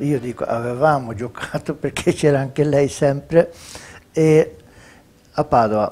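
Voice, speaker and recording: Against music in the background, a man speaks at a fairly slow pace with ordinary pitch variation and long, frequent pauses. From Sweden. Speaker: retired footballer. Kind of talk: interview answer. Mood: warm, reminiscing, smiling. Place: home room. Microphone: lapel.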